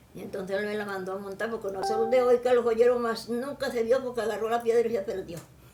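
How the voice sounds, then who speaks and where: A woman speaks very fast with hardly any pauses, at a fairly high pitch and with fairly even intonation, over noticeable background noise. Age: 80s+. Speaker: interviewee, mother of the interviewer. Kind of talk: casual family interview.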